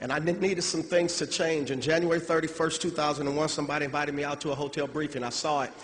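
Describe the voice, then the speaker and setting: With hardly any pauses, a man speaks very fast in a flat monotone at a fairly high pitch, with noticeable background noise and audible room echo. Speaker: motivational speaker, network marketer. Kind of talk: convention speech. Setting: stage with audience. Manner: emotional.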